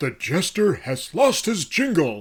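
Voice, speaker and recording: Doing a put-on character voice, a man speaks at a fairly slow pace with a high pitch and very wide pitch swings. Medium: read story. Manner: angry.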